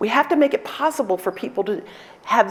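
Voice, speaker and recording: A loud woman's voice with an American accent and very wide pitch swings, plus noticeable background noise. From New York City, South Bronx. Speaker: law professor and dean. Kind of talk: conference talk Q&A. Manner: animated, energetic.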